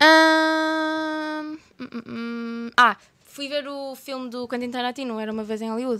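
A woman with a high pitch speaks at a very slow pace in a raised, projected voice with a bright, sharp tone, ordinary pitch variation and big swings in loudness, on a very clean recording with a silent background. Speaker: YouTuber. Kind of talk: casual chat.

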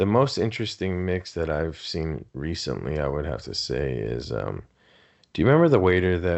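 In a Southern Californian accent, a man talks with a very deep, low pitch. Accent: Southern California American. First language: Spanish. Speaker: podcast co-host. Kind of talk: casual chat.

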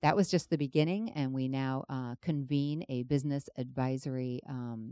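A woman's very deep, low, dark, mellow voice with a General American accent, ordinary pitch variation and a moderate pace, dry and close with no echo over a quiet background. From Los Angeles. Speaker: city finance director. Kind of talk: interview. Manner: halting.

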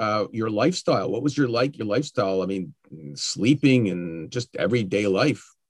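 A plain, everyday voice from a man with a Canadian accent, medium pitch, lively intonation, moderate pace, and dry, close sound with no echo. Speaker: podcast host and school board communications worker. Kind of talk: interview conversation.

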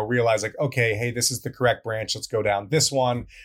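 A man speaks in a medium pitch, somewhat breathy. The recording is very clean, with a silent background. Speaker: podcast co-host, security researcher. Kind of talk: casual chat.

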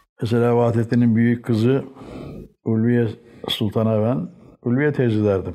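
Long, frequent pauses break up a man's fairly slow speech, his tone dark and mellow and his loudness very even. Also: medium pitch for a man, ordinary pitch variation. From Istanbul, Turkey (Çengelköy). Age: 80s+. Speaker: writer and publisher. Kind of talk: oral history interview.

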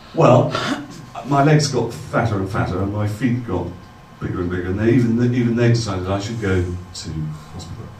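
Noticeable background noise sits behind a man with a fairly low pitch and ordinary pitch variation. He talks at a fairly quick pace but leaves long, frequent pauses. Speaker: true storyteller. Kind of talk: live storytelling performance. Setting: stage with audience.

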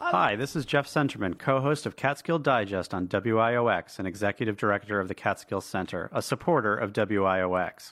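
An unremarkable speaking voice moves at a moderate pace with ordinary pitch variation. It has hardly any pauses. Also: man, fairly low pitch for a man. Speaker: radio co-host. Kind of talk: casual chat.

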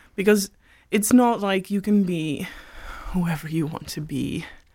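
In a Dutch accent, a woman speaks with fairly even intonation. The recording is very clean, with a silent background. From Netherlands. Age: 20s. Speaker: gender studies student. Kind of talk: casual chat. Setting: studio.

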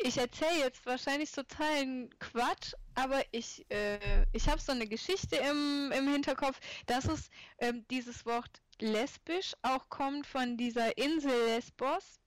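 The woman's pitch is high, with ordinary variation. She talks at a very slow pace. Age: 30s. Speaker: artist and illustrator. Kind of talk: casual chat.

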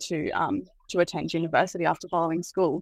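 A woman with an Australian accent and a fairly low pitch speaks at a fairly quick pace. Her intonation stays fairly even, and the sound is dry and close, with no echo. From Australia, Byron Shire, New South Wales. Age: 20s. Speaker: university student. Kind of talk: interview.

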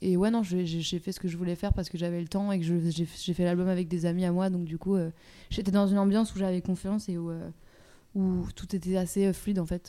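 With a dark, mellow tone and medium pitch, a woman talks at a fairly quick pace in a monotone, flat intonation, captured in a very clean recording with a silent background. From France. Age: 20s. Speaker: singer. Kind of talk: casual chat. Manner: halting.

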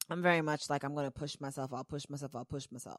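Her voice is very deep, with a low pitch for a woman. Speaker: podcast host. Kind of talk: casual solo monologue. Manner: conversational, frequent fillers.

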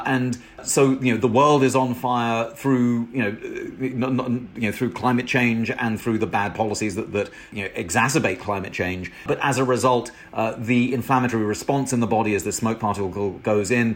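Against noticeable background noise, a man with a British accent speaks at a moderate pace and medium pitch with fairly even intonation. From Britain. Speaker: professor and author. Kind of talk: interview. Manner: halting, many repetitions and fillers.

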